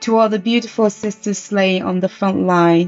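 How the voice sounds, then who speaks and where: Music plays in the background. Over it, a woman speaks with monotone, flat intonation. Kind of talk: poetry reading.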